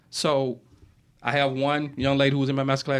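In a very clean recording with a silent background, a man with a Mississippi accent speaks at fairly high pitch. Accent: US Southern, Mississippi. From Mississippi, Yazoo City. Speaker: writer and filmmaker. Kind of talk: interview, casual chat. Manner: animated storytelling.

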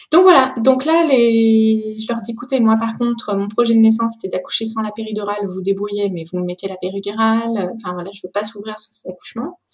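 The speech runs on with hardly any pauses and big swings in loudness. Noticeable background noise is present. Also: woman, fairly high pitch for a woman, ordinary pitch variation, fairly quick pace. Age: 30s. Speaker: bereaved mother. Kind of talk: testimony.

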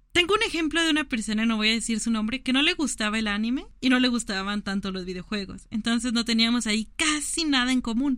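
A woman's fairly high voice at a very fast pace, with hardly any pauses and ordinary pitch variation. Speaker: podcast co-host. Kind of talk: casual chat.

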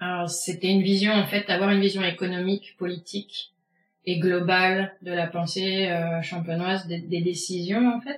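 A woman talks at a moderate pace in a medium pitch with monotone, flat intonation. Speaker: winemaker. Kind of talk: interview. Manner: hesitant.

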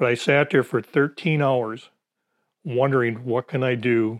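Here a man with an Upper Peninsula Michigan accent speaks at medium pitch and a moderate pace, with fairly even intonation. The very clean recording has a silent background and a dry, close sound with no echo. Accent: Upper Peninsula Michigan (Yooper). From Michigan Upper Peninsula (Gladstone). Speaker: retired veteran and hunter. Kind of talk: interview storytelling.

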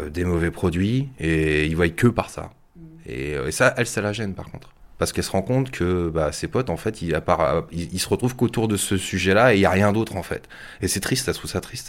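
A man talks at a fairly quick pace with a very deep, low pitch. His intonation is lively. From Yvelines, France. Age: 40s. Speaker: telecoms worker and startup founder. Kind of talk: casual interview. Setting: at home.

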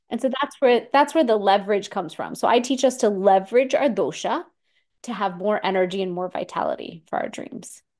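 The speaker has an unremarkable speaking voice with an American accent and a fairly quick pace. Intonation is lively, and the background is quiet. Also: woman, fairly high pitch for a woman. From Houston, Texas. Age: 40s. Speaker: Ayurvedic practitioner and turmeric researcher. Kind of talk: interview conversation.

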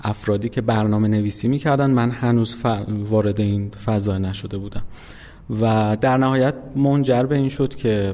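Fairly low in pitch, a man talks at a fairly slow pace with fairly even intonation. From Iran, Isfahan. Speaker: game company founder. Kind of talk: interview.

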